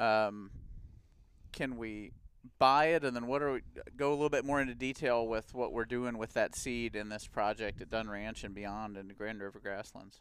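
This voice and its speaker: In a very clean recording with a silent background, a man with a plain, everyday voice talks at medium pitch and a moderate pace. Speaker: podcast host, conservation director. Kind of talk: casual chat.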